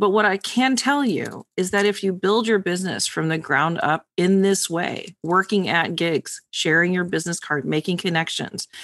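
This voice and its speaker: Against a quiet background, a woman speaks at medium pitch and a moderate pace in a plain, everyday voice with ordinary pitch variation. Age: 40s. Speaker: tarot reader and podcast co-host. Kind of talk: casual chat.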